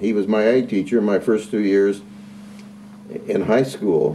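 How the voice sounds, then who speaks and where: A man is speaking with a US Midwestern accent. He talks at a fairly quick pace. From Indiana, Carroll County. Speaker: retired agriculture teacher. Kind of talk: interview. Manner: halting, frequent repetitions and fillers.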